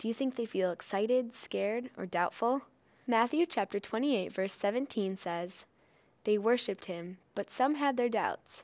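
A normal speaking voice at a fairly slow pace, with ordinary pitch variation, in a very clean recording over a silent background. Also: woman, fairly high pitch for a woman. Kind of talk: kids' devotional introduction and questions. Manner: warm, simple and encouraging.

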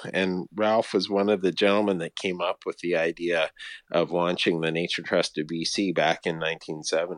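Against a quiet background, a man with a western Canadian accent speaks at a moderate pace in a very deep, low pitch with monotone, flat intonation and a dry, close sound with no echo. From Canada, British Columbia (Vancouver, Fraser Valley). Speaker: conservation organization CEO. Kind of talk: interview. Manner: halting, many fillers.

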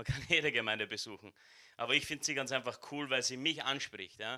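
A man talks at a very fast pace in a bright, sharp, animated tone. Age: 20s. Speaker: church member giving the welcome. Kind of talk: welcome speech at a church service. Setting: church service with live audience.

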